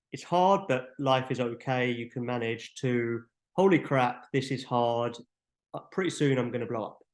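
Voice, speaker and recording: The speaker has an unremarkable speaking voice and talks at a fairly slow pace. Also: man. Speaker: app developer presenting features. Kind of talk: webinar tutorial. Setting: online webinar. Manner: casual, filler-heavy.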